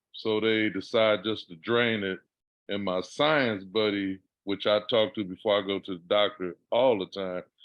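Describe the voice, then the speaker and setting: An unremarkable speaking voice from a man, fairly low in pitch, with fairly even intonation at a moderate pace. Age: 60s. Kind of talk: casual chat.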